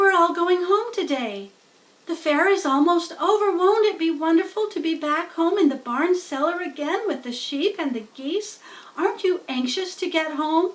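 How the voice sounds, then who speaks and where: A woman performs a put-on character voice. It is squeaky and extremely high in pitch. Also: moderate pace. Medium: read story. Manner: earnest, emotional.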